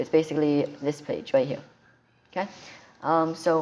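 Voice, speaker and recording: The voice is quiet, with fairly even intonation. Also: woman. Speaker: tech tutorial youtuber. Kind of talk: tutorial. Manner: quiet, held-down voice; hesitant, many ums and restarts.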